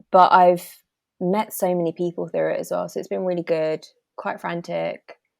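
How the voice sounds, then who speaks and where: A woman with a British accent speaks at a moderate pace, the sound dry and close with no echo. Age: 20s. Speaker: cancer awareness ambassador. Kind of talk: podcast interview.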